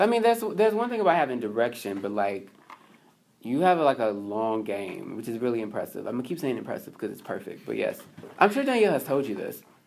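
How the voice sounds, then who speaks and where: Speaking at a very fast pace, a man with an American accent is heard over noticeable background noise. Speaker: writer and culture critic. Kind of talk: casual interview chat.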